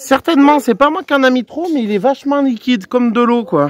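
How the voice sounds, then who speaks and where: A man speaks at a fairly slow pace. The sound is dry and close with no echo. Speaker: car DIY youtuber. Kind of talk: casual tutorial vlog. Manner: loud; casual, hesitant.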